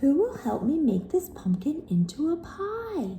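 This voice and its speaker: Using a put-on character voice, a woman speaks at a high pitch with very wide pitch swings. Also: moderate pace. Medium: read story.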